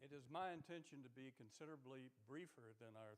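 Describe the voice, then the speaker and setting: With an American accent, a man talks at a moderate pace with ordinary pitch variation. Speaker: military veteran. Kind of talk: interview. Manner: loud.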